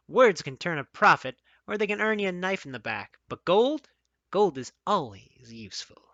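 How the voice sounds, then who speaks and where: At a moderate pace, someone speaks in a put-on character voice at a middle pitch. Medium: read story. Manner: sarcastic, blunt.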